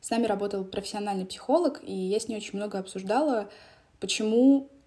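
Somewhat breathy, this voice carries a dark, mellow tone. Its tempo is fairly quick. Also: woman. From Donetsk, eastern Ukraine. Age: young. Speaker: podcast host. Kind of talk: personal monologue.

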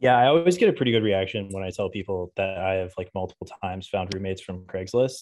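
A man's fairly low-pitched voice at a fairly quick pace, fairly even intonation, and a quiet background. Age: 30s. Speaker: podcast co-host. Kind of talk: casual chat. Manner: halting.

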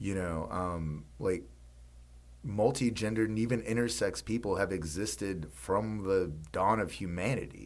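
Very deep, low male voice with lively intonation, a moderate pace and audible room echo. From Mississippi. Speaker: podcast co-host. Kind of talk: casual chat. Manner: halting, many fillers.

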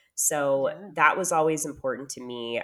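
At a moderate pace, a woman with an American accent speaks on a very clean recording with a silent background. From California, US. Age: 30s. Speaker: podcaster, prospective single parent. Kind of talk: casual interview.

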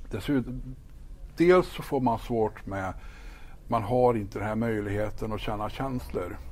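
Talking at a fairly slow pace, a man has an unremarkable speaking voice at a medium pitch with ordinary pitch variation. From Sweden, northern Värmland (Ekshärad). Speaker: pastor. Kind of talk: faith testimony interview.

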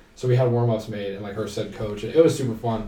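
A man with an American accent speaks at medium pitch with ordinary pitch variation. Audible room echo can be heard. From Ohio, Canton. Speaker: university student. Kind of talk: casual chat. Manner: animated.

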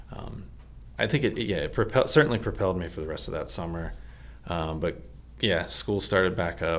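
A man with an American accent talks at a moderate pace in a very deep, low voice with vocal fry. His pitch swings very widely. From Texas and Maryland, US. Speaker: church member sharing testimony. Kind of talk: testimony.

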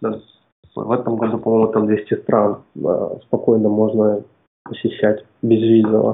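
Long, frequent pauses break up a man's fairly slow, monotone delivery with flat intonation. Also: medium pitch for a man. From Kazakhstan, Almaty. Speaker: product developer, freelancer. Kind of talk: interview. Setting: remote call. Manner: halting, hesitant.

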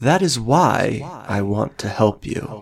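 A man's put-on character voice, fairly low in pitch with vocal fry and a slightly husky edge, slow in pace, with lively intonation

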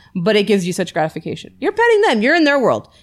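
On a very clean recording with a silent background, a woman with an American accent talks at a very fast pace in an animated tone. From US Midwest, Detroit. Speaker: firefighter. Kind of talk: casual chat.

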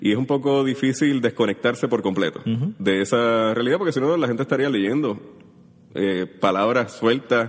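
An ordinary speaking voice, a man at medium pitch and moderate pace with very even loudness. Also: ordinary pitch variation. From Puerto Rico, Caimito (San Juan). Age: 30s. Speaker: writer. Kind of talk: interview.

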